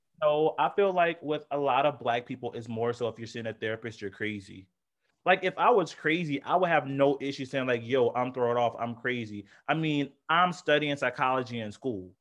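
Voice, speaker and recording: Here is a normal speaking voice from a man at a medium pitch. He keeps a moderate pace with ordinary pitch variation. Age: 20s. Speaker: podcast co-host. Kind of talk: casual chat.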